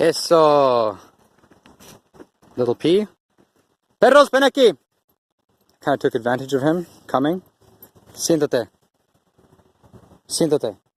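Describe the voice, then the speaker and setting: Soft-spoken and mumbling, a man with a fairly high pitch and lively intonation talks at a fairly slow pace with long, frequent pauses, in a dry, close sound with no echo. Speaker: dog owner and trainer vlogger. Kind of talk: casual vlog narration while training dogs. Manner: mumbling, soft and weak on camera.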